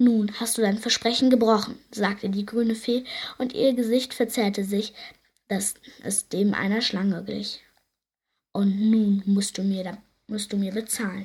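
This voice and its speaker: The tone is gentle and warm, and the pace is fairly slow. Long, frequent pauses break up the speech. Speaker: audiobook narrator. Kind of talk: bedtime story reading aloud, fairy tale narration. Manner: gentle, unhurried storyteller, warm and soft-spoken.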